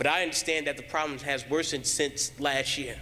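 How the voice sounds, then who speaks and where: Flat and monotone, a man with a fairly high pitch and a bright, sharp tone speaks at a moderate pace with vocal fry. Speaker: recent graduate speaking at public comment. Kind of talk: public comment at board meeting. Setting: public board meeting in school.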